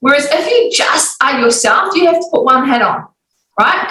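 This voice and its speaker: Her pace stays moderate. The woman talks in a New Zealand accent. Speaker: business coach and author. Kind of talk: podcast interview. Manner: energetic.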